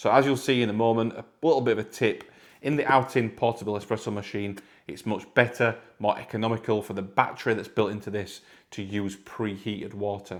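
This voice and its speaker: A man with a northern English accent speaks at a fairly quick pace and a medium pitch, his loudness swinging widely, on a very clean recording with a silent background. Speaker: product reviewer. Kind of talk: product review tutorial. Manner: casual, repetitive.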